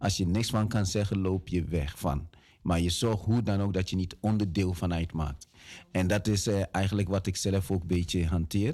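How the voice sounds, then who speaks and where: A man with a very deep, low, dark and mellow voice speaks at a moderate pace with fairly even intonation and very even loudness on a very clean recording with a silent background. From Ghana, moved to the Netherlands at 11. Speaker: community activist. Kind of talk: radio interview. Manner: halting with fillers.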